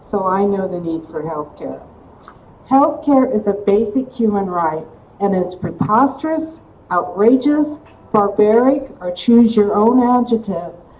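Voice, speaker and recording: A woman's lively, up-and-down intonation at a fairly slow pace, over noticeable background noise. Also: medium pitch for a woman. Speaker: activist and organizer, former mental health therapist. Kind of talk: rally speech. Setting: rally.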